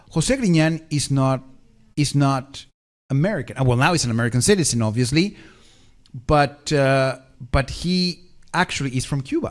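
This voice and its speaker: A man with a Spanish accent and a fairly high pitch speaks with ordinary pitch variation and long, frequent pauses on a very clean recording with a silent background. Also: moderate pace. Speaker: tech expert and live show host. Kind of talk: casual live-stream chat. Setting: live stream.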